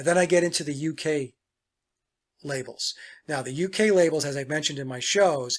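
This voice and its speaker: Speaking at a fairly quick pace yet with long, frequent pauses, a man with a fairly high pitch, ordinary pitch variation and a relaxed tone swings widely in loudness, captured in a very clean recording with a silent background. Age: 60s. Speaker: musician and songwriter. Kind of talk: casual talk to camera. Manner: relaxed, with frequent fillers.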